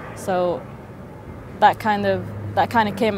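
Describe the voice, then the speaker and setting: A woman talks at a moderate pace in a London accent. Noticeable background noise and audible room echo fill the recording. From London, England. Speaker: interviewee. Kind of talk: interview testimony. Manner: halting, many repetitions.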